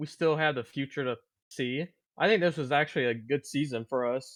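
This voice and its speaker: A man's plain, everyday voice, fairly quick and fairly high-pitched, with ordinary pitch variation against a quiet background. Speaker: podcast co-host. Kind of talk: casual podcast talk.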